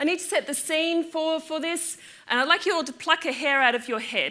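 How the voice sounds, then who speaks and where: A woman speaks at a fairly quick pace in a raised, projected voice with ordinary pitch variation. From Australia. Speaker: physics lecturer. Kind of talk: public lecture. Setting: lecture theatre with audience. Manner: animated.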